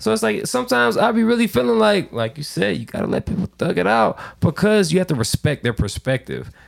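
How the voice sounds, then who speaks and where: A man races along at a very fast pace with hardly any pauses, his fairly high voice showing vocal fry. His pitch swings very widely, and the sound is dry and close with no echo. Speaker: podcast guest. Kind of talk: casual chat.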